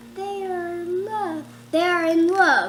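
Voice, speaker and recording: A woman uses a put-on character voice pitched extremely high, calm and cheerful in tone. She goes at a fairly slow pace against clear background noise. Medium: read story. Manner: calm, cheerful.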